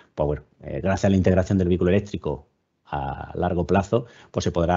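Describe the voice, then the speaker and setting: A man with a southern Spanish accent, very deep and low in pitch, with ordinary pitch variation. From southern Spain. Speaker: webinar speaker, EV charging and self-consumption expert. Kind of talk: webinar presentation. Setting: online webinar. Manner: fast.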